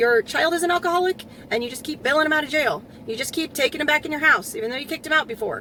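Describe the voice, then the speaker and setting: This woman's voice is raised and projected, with a high pitch. Her intonation is lively. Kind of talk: commentary talk to camera.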